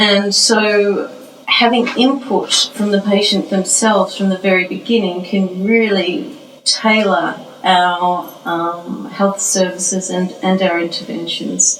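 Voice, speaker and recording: Speaking very slowly in an Australian accent, a woman at a medium pitch is heard with audible room echo. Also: ordinary pitch variation. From Australia, Melbourne. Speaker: professor. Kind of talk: interview.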